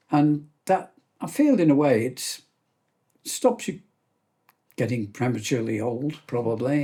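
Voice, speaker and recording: Lively intonation runs through a dark, mellow, somewhat breathy voice broken by long, frequent pauses. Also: man, fairly high pitch for a man, fairly slow pace. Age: 70s. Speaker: gunmaker. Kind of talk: casual chat.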